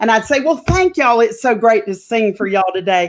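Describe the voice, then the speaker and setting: The speaker has a Southern US accent and lively intonation. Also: woman. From North Carolina. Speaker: opera singer. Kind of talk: interview. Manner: animated.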